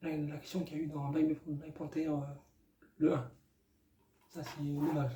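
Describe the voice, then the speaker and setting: Somewhat breathy, monotone delivery with flat intonation and long, frequent pauses. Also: man, fairly high pitch for a man, fairly slow pace. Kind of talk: casual movie review to camera. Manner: hesitant, many filler sounds.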